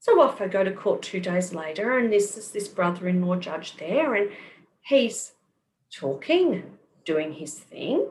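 A woman speaks at a fairly slow pace in a medium pitch, sounding somewhat breathy. Her intonation is lively and her loudness swings widely. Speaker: kinesiologist. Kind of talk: interview. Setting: video call.

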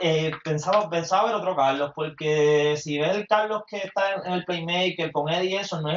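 Speaking with a Puerto Rican accent, the voice moves at a moderate pace with ordinary pitch variation. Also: man. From Puerto Rico, Mayagüez. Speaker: podcast co-host, former athlete. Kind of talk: casual chat. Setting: home apartment, livestream.

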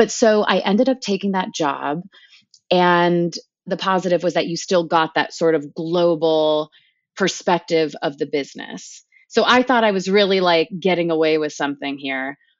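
Here is a woman with a plain, everyday voice, fairly low in pitch, speaking at a moderate pace with ordinary pitch variation. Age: 30s. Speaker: TV producer. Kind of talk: casual chat.

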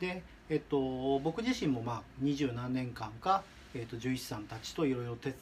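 A somewhat breathy man at a medium pitch, moderate pace and ordinary pitch variation. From Shizuoka, Japan. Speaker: dog product business owner. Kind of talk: advice monologue. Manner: halting.

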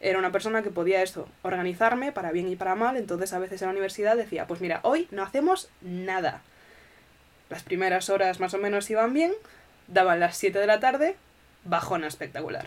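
With a medium pitch and ordinary pitch variation, a woman talks at a fairly quick pace in an unremarkable speaking voice. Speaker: podcast host. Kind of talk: casual chat.

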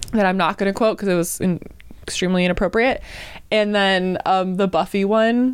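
Speaking at a moderate pace and medium pitch, a woman with a plain, everyday voice is heard on a very clean recording with a silent background. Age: 30s. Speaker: podcast co-host. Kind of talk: casual chat.

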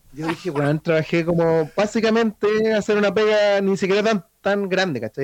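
With a Chilean accent, a man speaks at a high pitch with ordinary pitch variation. His pace is moderate, and the sound is dry and close with no echo. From Chile, rural O'Higgins region (Chépica). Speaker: illustrator. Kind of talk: casual chat.

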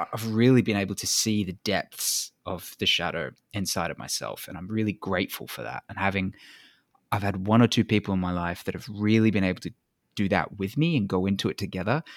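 A man with an unremarkable speaking voice talks at a fairly quick pace. His pitch is fairly low, with ordinary variation. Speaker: podcast host. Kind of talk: casual interview chat.

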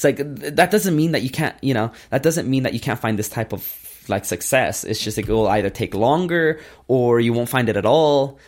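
A man's unremarkable speaking voice at a medium pitch with lively intonation and a fairly quick pace, on a very clean recording with a silent background. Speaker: entrepreneur. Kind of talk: interview.

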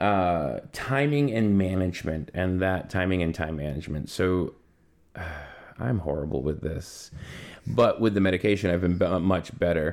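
Very clean, with a silent background, this recording captures a man's very deep, low voice. He keeps a moderate pace. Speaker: podcast co-host. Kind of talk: casual chat. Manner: halting.

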